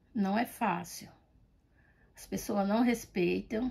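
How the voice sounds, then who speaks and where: A woman speaks at a very slow pace with a medium pitch. Her tone is dark and mellow, and somewhat breathy. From Brazil, rural Bahia. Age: 60s. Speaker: grandmother interviewee. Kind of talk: interview testimony.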